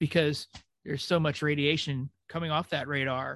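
A man with a fairly high pitch speaks at a moderate pace in an unremarkable speaking voice, his intonation fairly even and the sound dry and close with no echo. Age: 40s. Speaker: podcast host, former Navy. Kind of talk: casual chat.

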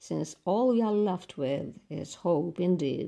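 Speaking at a very slow pace, a woman uses a fairly low pitch and a dark, mellow tone with lively intonation. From Romania. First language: Romanian. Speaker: radio host of listener mailbag show. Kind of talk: reading listener letters. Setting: studio.

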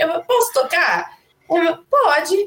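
This woman's voice is extremely high in pitch. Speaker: singer-songwriter. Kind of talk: casual chat. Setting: studio. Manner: animated.

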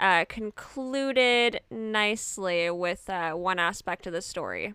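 A bright, sharp tone in a Canadian accent comes with ordinary pitch variation, heard as a dry, close sound with no echo in a very clean recording with a silent background. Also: woman. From Edmonton, Canada. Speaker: podcast co-host, theater artist. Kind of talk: casual chat; scripted narration.

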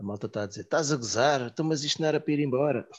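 Talking at a very fast pace, a man with a European Portuguese accent shows ordinary pitch variation. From Portugal, Santarém. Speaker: podcast host. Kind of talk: casual chat.

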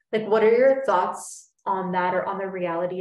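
A woman with a plain, everyday voice speaks at a moderate pace and medium pitch. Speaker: podcast host. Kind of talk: casual interview chat.

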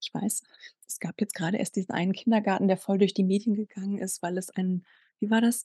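Dry and close with no echo, a woman's somewhat breathy voice of medium pitch has a dark, mellow tone, fairly even intonation and a fairly quick pace. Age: 40s. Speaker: sex coach. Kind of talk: casual interview.

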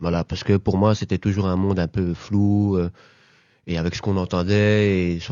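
His intonation is monotone and flat. The man's pitch is fairly low. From Brussels, Belgium (Laeken). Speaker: social worker and local councillor. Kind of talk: casual interview. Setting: studio. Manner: hesitant, many fillers.

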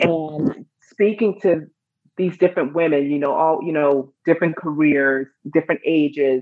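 A woman with a Chicago accent speaks at a moderate pace, her very deep, low pitch showing ordinary variation. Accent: Chicago American English. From US Midwest, Chicago. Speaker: stress and anxiety coach, author. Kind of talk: interview.

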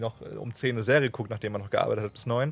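The man's voice is somewhat breathy, and his pitch varies in an ordinary way. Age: 20s. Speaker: travel podcast host. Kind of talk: casual chat.

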